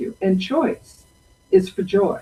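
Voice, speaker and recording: The voice is somewhat breathy. Its tone is dark and mellow. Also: woman. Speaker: presenter. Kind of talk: storytelling talk. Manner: slow.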